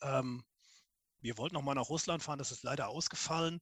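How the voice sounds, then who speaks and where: A man is talking here. His pitch rises and falls in a normal way. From Koblenz, Germany. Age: 40s. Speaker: civil engineer. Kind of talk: casual group chat. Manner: hesitant, many fillers.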